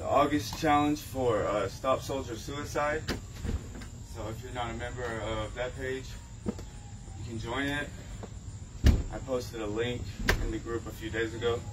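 Against loud background noise, a man talks at a fairly slow pace with long, frequent pauses and ordinary pitch variation. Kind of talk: casual vlog chat. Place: garden. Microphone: camera far.

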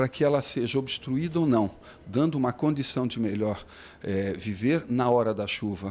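A man's unremarkable speaking voice, medium-pitched with lively intonation, on a very clean recording with a silent background. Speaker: municipal official. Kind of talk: news interview.

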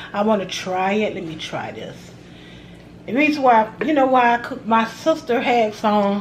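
A woman talks with a Southern US accent at a moderate pace and ordinary pitch variation. Her loudness swings widely, with light background noise behind her. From US South. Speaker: cooking video creator. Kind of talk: casual cooking vlog. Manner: animated. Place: home room. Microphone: phone near.

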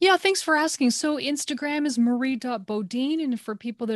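Against a quiet background, a woman talks at a moderate pace with lively intonation, the sound dry with no echo. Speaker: breathwork instructor. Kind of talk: casual interview chat. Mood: calm, warm. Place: home room. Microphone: webcam.

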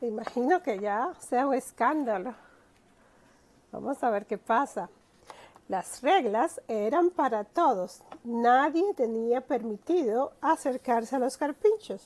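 A woman with a high-pitched voice and a warm tone speaks at a very slow pace with lively intonation. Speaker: storyteller. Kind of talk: children's story read-aloud. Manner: warm, friendly.

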